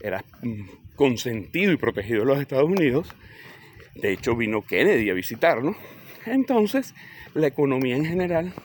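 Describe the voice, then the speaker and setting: The voice moves at a fairly quick pace, its pitch swinging very widely. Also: man. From Venezuela, Caracas. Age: 60s. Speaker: political commentator. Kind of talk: political commentary answering a comment. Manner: hesitant, with fillers and restarts.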